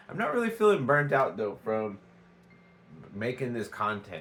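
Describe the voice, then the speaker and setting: Over music in the background, a man speaks with an American accent at a medium pitch. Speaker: vlogger. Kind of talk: casual vlog talk. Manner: halting, many fillers.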